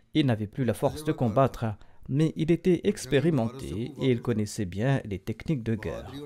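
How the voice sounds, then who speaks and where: The voice has a dark, mellow tone with vocal fry. Delivery comes at a moderate pace with lively intonation. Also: man, medium pitch for a man. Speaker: religious leader giving a sermon. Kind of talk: religious sermon delivered as historical narration.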